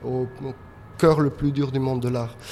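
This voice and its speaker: A man's voice amid noticeable background noise. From Spain, Madrid. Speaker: painter. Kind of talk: interview. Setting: artist's studio. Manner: halting.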